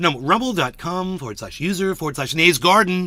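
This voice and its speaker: A man talks in a raised, projected voice. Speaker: podcaster, streamer. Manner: energetic, playful.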